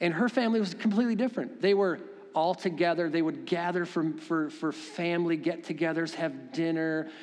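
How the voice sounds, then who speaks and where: With noticeable background noise, a man with a high pitch speaks at a fairly quick pace in an animated tone with ordinary pitch variation. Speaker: pastor. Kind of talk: sermon. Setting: church. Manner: animated, preacherly.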